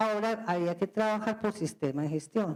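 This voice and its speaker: Speaking with lively intonation at a moderate pace, a woman has an unremarkable speaking voice pitched fairly high. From Colombia, Medellín. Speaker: company president. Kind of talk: guest lecture.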